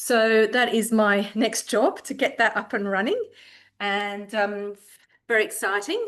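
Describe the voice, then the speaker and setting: A woman speaks in a fairly high pitch with fairly even intonation. The background is quiet. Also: fairly slow pace. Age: 60s. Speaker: cooking demonstrator. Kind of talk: cooking tutorial. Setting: home kitchen. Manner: casual, hesitant with fillers.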